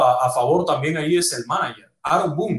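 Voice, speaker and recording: This man has a plain, everyday voice. He talks at a fairly quick pace with a fairly high pitch and ordinary pitch variation. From Cuba. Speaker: sports radio host. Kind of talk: casual sports discussion.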